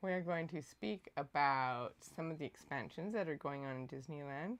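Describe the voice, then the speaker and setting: Her pitch very deep and low, a woman speaks at a moderate pace. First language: not English. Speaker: channel co-host. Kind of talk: livestream chat.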